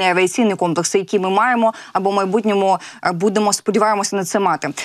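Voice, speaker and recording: The background is quiet. A woman speaks with fairly even intonation. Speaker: news anchor. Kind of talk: live news broadcast. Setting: TV studio. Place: studio.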